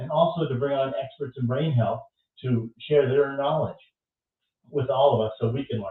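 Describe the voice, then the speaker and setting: A man speaks at a moderate pace with fairly high pitch and fairly even intonation. He leaves long, frequent pauses. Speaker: stroke survivor, podcast host. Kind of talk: interview host, casual talk.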